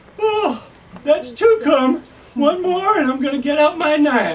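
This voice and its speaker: At a fairly slow pace, a put-on character voice speaks at a high pitch. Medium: solo performance. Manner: drowsy, folksy.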